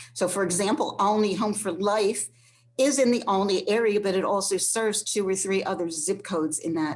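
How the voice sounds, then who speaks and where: A woman's normal speaking voice, medium in pitch with ordinary variation, at a moderate pace. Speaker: transportation program staff presenter. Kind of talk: online presentation. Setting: online session.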